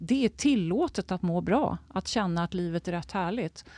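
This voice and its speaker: A woman talks at a fairly slow pace in a fairly low voice with ordinary pitch variation, an unremarkable speaking voice. The recording is very clean with a silent background, and the sound is dry and close with no echo. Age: 60s. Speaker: health and wellness adviser. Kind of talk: interview conversation.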